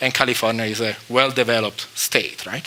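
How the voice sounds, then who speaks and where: A man talks at a fairly quick pace with an Italian accent. Noticeable background noise sits behind him. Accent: Italian accent, non-native English. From Italy, Rome. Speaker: chemistry professor. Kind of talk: lecture. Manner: halting, many fillers.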